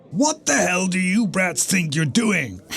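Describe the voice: A man's cartoonish character voice, high-pitched and fairly slow, over clear background noise. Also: lively intonation.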